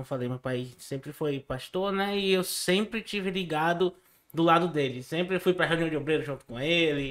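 At a moderate pace, a man talks in a fairly high pitch for a man. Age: 20s. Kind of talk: testimony. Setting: studio.

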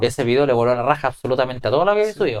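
With a Chilean accent, a man talks in very wide pitch swings. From Chile, Ovalle (Coquimbo region). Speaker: YouTuber and musician. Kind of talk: casual interview.

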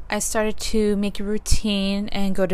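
The voice has ordinary pitch variation. Audible room echo surrounds it. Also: woman. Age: 20s. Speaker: solo podcaster. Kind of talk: casual monologue. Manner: conversational, many fillers.

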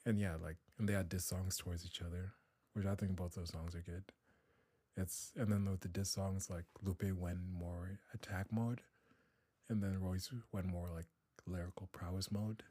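A man speaks at a moderate pace in a very deep, low, somewhat breathy voice with a dark, mellow tone and monotone, flat intonation. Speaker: student. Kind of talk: casual chat. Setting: studio.

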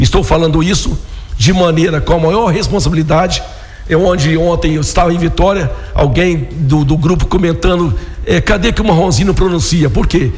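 A man speaks at a moderate pace with high pitch, ordinary pitch variation and very even loudness. There is audible room echo and noticeable background noise. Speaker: local politician, city council president. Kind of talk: radio interview.

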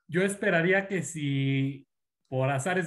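A man speaks in a normal speaking voice at a fairly high pitch. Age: 20s. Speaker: baseball fan guest. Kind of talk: casual sports chat.

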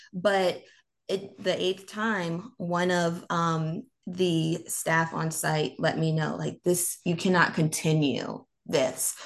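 With an American accent, a woman speaks at a very slow pace and a fairly low pitch. Her intonation is fairly even against a quiet background. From North Carolina. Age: 20s. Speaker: public speaker. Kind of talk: interview.

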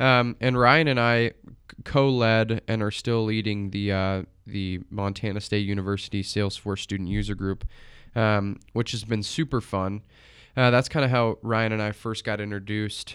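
This is a man with a plain, everyday voice and fairly low pitch. He talks at a moderate pace in a very clean recording with a silent background. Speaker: podcast host and college student marketer. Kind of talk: interview conversation; scripted intro.

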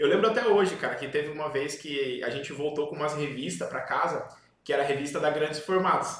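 A man with a fairly high pitch talks at a very fast pace with ordinary pitch variation, with audible room echo and noticeable background noise. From Paraná, Brazil (Paranaguá). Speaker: visual communication business owner, podcast host. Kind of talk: casual chat. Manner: animated.

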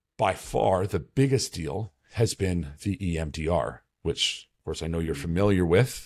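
A man speaks at a fairly slow pace with a very deep, low pitch and vocal fry. His intonation is lively. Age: 40s. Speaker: podcast host in addiction recovery. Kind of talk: casual interview chat. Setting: video call.

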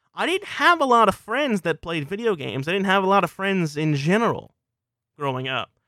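Raising and projecting his voice, a high-pitched man with an American accent and a bright, sharp tone talks at a fairly quick pace with very wide pitch swings, in a dry, close sound with no echo on a very clean recording with a silent background. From US South, South Louisiana. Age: 20s. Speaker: podcast host, video game commentator. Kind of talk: solo personal monologue.

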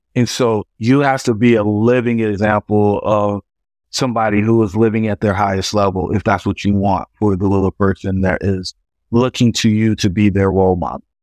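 An unremarkable speaking voice with an American accent moves at a moderate pace with fairly even intonation. The sound is dry and close with no echo, over a quiet background. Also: man, fairly low pitch for a man. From Fayetteville, North Carolina. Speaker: real estate developer and coach. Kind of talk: interview.

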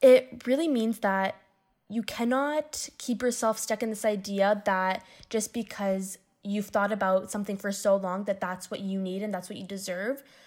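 A woman with a Canadian accent talks at a moderate pace, at medium pitch with ordinary pitch variation. The recording is very clean with a silent background. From Windsor, Ontario, Canada. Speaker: university student. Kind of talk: interview.

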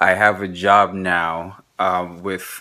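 The voice has a bright, sharp tone and a monotone, flat intonation. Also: man. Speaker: podcast host and artist. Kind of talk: casual solo vlog monologue. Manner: quieter than usual.

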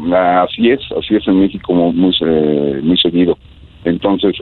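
A man at a moderate pace with ordinary pitch variation, noticeable background noise behind him. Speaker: air traffic controller. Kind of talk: interview.

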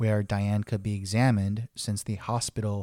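Dark and mellow in tone, the voice moves at a fairly slow pace in a dry, close recording with no echo and a silent, very clean background. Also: man. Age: 30s. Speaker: podcast host, lay theologian. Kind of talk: personal reflective monologue.

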